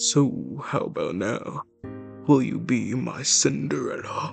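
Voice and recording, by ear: A gravelly, husky put-on character voice goes at a fairly slow pace with faint music in the background.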